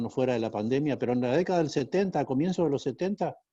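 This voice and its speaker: Against a quiet background, a man with a northeastern Argentine accent speaks at a fairly high pitch, with a dark, mellow tone and ordinary pitch variation. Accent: Argentine Spanish, northeastern (Corrientes). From Argentina, Corrientes. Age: 60s. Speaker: school founder and entrepreneur. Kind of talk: interview.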